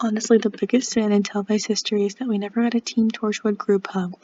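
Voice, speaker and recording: A woman speaks quietly at a very fast pace. Noticeable background noise is present. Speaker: fan video creator. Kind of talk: casual reaction video. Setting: at home late at night. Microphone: cheap mic.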